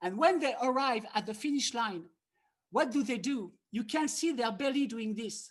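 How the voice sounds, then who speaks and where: A woman's high, lively voice in a French accent. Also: moderate pace. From France. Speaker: harmonica teacher. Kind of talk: online masterclass. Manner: animated.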